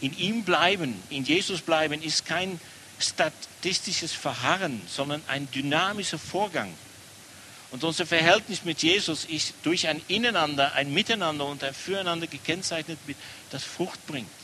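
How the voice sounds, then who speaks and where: A man with a Dutch accent and a fairly high pitch, ordinary pitch variation, and noticeable background noise. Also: fairly slow pace. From Netherlands. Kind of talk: sermon.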